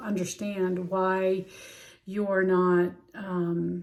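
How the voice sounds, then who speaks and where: A woman is speaking. Her voice is medium in pitch. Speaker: healing practitioner and life coach. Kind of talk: instructional talk on journaling. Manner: casual with frequent fillers.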